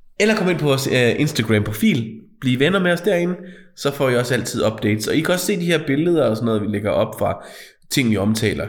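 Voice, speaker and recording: Talking very fast at a fairly high pitch, a man makes very wide pitch swings while his loudness stays very even. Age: 40s. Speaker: podcast co-host. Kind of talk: casual chat.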